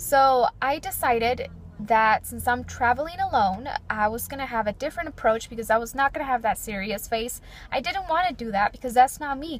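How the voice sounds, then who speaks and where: A woman with a high pitch and lively intonation talks at a fairly quick pace over noticeable background noise. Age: 20s. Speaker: lifestyle vlogger. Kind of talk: personal vlog monologue. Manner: not loud.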